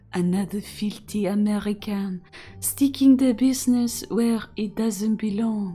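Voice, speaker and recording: Over faint background music, a woman puts on a character voice with a French accent at a medium pitch. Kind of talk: contemptuous, insulting. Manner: disdainful, snooty.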